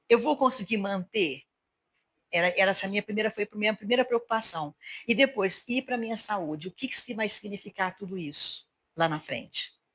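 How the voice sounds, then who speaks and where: Woman with a normal speaking voice, medium pitch, ordinary pitch variation and a moderate pace, dry and close with no echo. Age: 60s. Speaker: podcast host. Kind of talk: casual interview chat.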